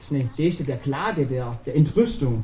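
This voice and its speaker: At a fairly quick pace, a man talks in a normal speaking voice. His pitch is fairly high. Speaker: preacher. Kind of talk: sermon. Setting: church. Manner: warm, conversational, addresses congregation directly with rhetorical questions.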